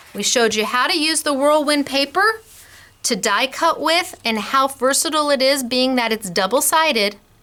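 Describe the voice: Lively intonation carries a bright, sharp tone at a moderate pace. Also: woman, high pitch for a woman.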